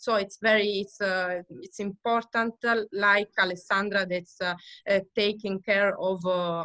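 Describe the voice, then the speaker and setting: In an Italian accent, a woman with a bright, sharp tone speaks at a very slow pace in a medium pitch with monotone, flat intonation, the sound dry and close with no echo. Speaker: winery owner family member. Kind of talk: interview. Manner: halting.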